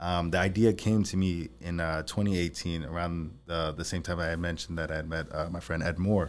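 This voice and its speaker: In a New York accent, a man with a very deep, low voice speaks fairly quickly with ordinary pitch variation. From Long Island, New York. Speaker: entrepreneur, CEO of a junk removal company. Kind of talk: interview. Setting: studio.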